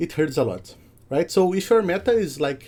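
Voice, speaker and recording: This man speaks at a moderate pace with a dark, mellow tone and a non-native accent. His pitch swings very widely. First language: not English. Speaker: content creator and data website developer. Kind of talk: tutorial. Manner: hesitant, frequent fillers.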